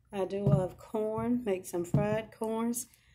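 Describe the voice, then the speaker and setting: A woman speaks at a very slow pace with ordinary pitch variation. Noticeable background noise runs under her voice. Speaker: home vlogger. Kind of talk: casual vlog chat. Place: home room. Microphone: phone near.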